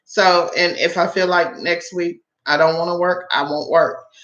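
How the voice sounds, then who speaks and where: A woman with an American accent speaks at a fairly low pitch and a fairly slow pace. Her intonation is monotone and flat. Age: 40s. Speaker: online tutor and side-gig channel host. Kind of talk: live stream chat. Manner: casual, many filler words.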